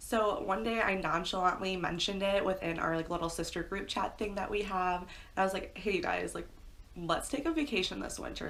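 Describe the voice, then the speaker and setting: A woman with a Midwestern accent at a medium pitch and fairly quick pace, with ordinary pitch variation and audible room echo. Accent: American Midwest. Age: 20s. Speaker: pet YouTuber. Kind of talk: story time monologue. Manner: fast; casual, chatty.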